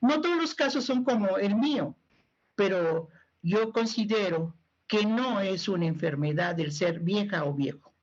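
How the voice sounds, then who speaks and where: Somewhat breathy, a woman speaks at a medium pitch and fairly slow pace, her pitch swinging very widely while her loudness stays very even. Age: 70s. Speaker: older adults' rights advocate. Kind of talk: TV panel discussion.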